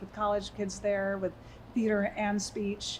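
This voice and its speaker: A woman's somewhat breathy, fairly high voice at a moderate pace. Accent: American. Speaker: actress and theatre company owner. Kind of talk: interview conversation. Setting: podcast studio, shared microphone. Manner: soft-spoken; halting, with fillers and repeats.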